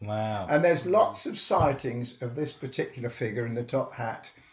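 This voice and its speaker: Somewhat breathy, this voice comes with a southern English accent. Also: man. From England, Hitchin, Hertfordshire. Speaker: local historian. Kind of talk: interview storytelling. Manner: animated.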